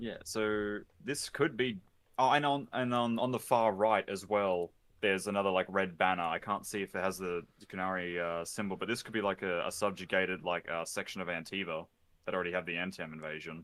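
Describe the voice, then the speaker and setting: Very deep and low, a man's voice carries an Australian accent at a fairly quick pace with ordinary pitch variation. The recording is very clean, with a silent background. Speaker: video game commentator. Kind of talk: live stream reaction chat.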